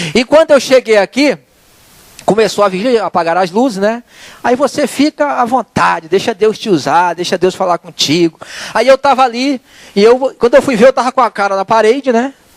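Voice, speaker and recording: A man's lively, high-pitched voice at a moderate pace over noticeable background noise. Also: dry, close sound with no echo. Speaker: lay preacher. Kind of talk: sermon. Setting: church.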